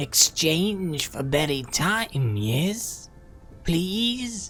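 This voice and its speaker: A put-on character voice at a middle pitch sounds wheezy and guttural. It moves at a very slow pace over clear background noise. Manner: wheezing, pleading.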